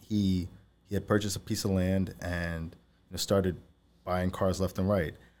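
A man with a New York accent speaks at a moderate pace with very deep, low pitch and a dark, mellow tone. His intonation is fairly even, and the recording is very clean with a silent background. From Long Island, New York. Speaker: entrepreneur, CEO of a junk removal company. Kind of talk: interview. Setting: studio.

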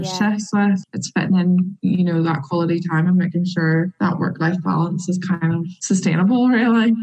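A woman with a Northern Irish accent speaks at a fairly low pitch and moderate pace, somewhat breathy, with fairly even intonation. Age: 20s. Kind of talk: interview.

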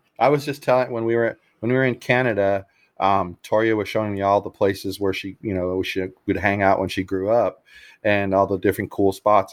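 A man has a normal speaking voice and a fairly low pitch, talking at a fairly quick pace. The recording is very clean with a silent background. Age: 50s. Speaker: podcast host. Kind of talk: casual chat.

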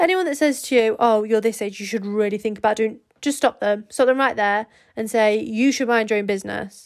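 Animated in tone, a woman speaks at a fairly quick pace and a fairly high pitch. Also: ordinary pitch variation. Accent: English. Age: 20s. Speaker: podcast co-host. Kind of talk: casual solo chat.

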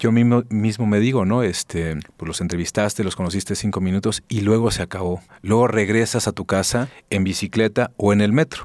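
On a very clean recording with a silent background, a man with a fairly low pitch uses a normal speaking voice at a fairly quick pace with fairly even intonation. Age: 40s. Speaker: film journalist and TV presenter. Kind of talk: casual interview conversation.

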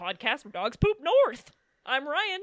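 A man's put-on character voice at an extremely high pitch, with very wide pitch swings and a moderate pace.

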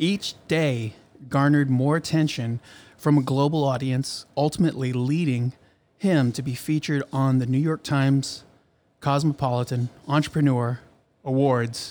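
This man has an ordinary speaking voice at fairly high pitch. His pace is moderate and his intonation fairly even. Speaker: podcast host. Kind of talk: casual interview. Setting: studio.

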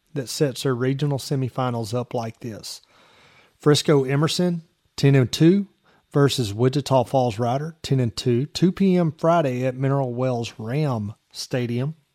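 A man with a normal speaking voice talks at a moderate pace and a medium pitch. His pitch varies in an ordinary way, and the sound is dry and close with no echo. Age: 40s. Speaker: sports podcast host. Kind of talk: sports talk show.

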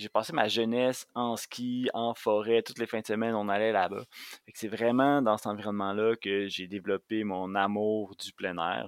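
An ordinary speaking voice belongs to this man, fairly low in pitch. He keeps a moderate pace and fairly even intonation. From Quebec, Montérégie. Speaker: outdoor guide and instructor. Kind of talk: casual interview chat.

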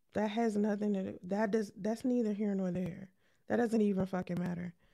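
A soft-spoken woman talks at a moderate pace in a medium pitch, her tone dark and mellow and her intonation flat and monotone. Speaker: podcast host and live streamer. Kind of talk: live stream chat. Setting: live stream.

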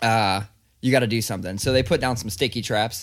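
Speaking with an American accent in a plain, everyday voice, a man talks at a fairly quick pace with medium pitch and ordinary pitch variation in a very clean recording with a silent background. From Ohio, Columbus. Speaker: podcast co-host. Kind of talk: casual chat.

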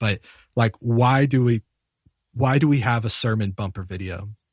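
A man has a normal speaking voice, medium pitch and an American accent, talking at a moderate pace with ordinary pitch variation in a dry, close sound with no echo against a quiet background. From US South, Charlotte, North Carolina. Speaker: music software teacher and worship musician. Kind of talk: casual interview.

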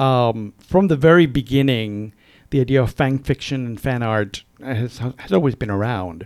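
Medium-pitched male speech at a moderate pace with ordinary pitch variation, music playing in the background. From Puerto Rico. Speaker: author. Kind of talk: interview. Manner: energetic.

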